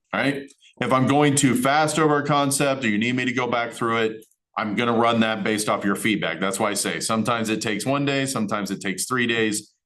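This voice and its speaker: Speaking at a very fast pace, the man has a medium pitch and ordinary pitch variation. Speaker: college instructor. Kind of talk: lecture. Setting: recorded class session.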